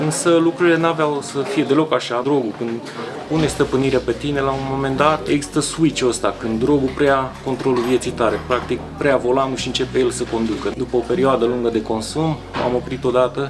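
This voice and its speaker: Noticeable background noise sits behind a man talking at a fairly quick pace and medium pitch with ordinary pitch variation. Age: 40s. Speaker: former addict sharing his story. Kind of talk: testimony.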